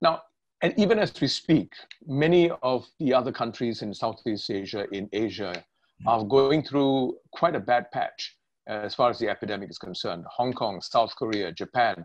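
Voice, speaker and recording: The voice moves at a moderate pace. Its intonation is lively. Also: man. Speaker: interview host. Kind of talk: interview question. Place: home room. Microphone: webcam.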